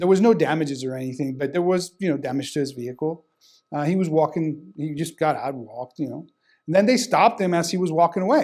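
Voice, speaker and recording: A man with a Spanish accent talks very fast in a fairly high pitch, his intonation lively, on a very clean recording with a silent background. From Sonora, northern Mexico. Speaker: criminal defense lawyer. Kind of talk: testimonial interview.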